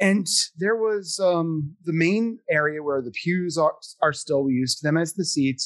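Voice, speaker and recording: A man's plain, everyday voice with an American accent, fairly high in pitch, in a dry, close sound with no echo. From US Northeast, Philadelphia. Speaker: actor. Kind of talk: casual chat.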